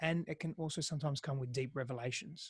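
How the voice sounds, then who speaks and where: A somewhat breathy man with an Australian accent, fairly high pitch, fairly quick pace and ordinary pitch variation, in a very clean recording with a silent background. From Greece, then Australia. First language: Greek. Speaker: intimacy and relationship coach. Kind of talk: podcast interview. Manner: halting, frequent repetitions.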